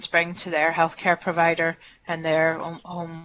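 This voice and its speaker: In a Northern Irish accent, a woman speaks at a moderate pace with a fairly low pitch and monotone, flat intonation. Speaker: hospital clinician presenter. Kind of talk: webinar Q&A answer. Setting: webinar. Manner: hesitant.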